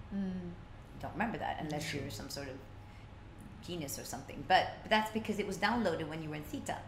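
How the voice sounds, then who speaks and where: A woman's fairly low voice with lively intonation, fairly quick and with hardly any pauses, amid big swings in loudness, audible room echo and noticeable background noise. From Sweden (Stockholm). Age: 40s. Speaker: life coach. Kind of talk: interview.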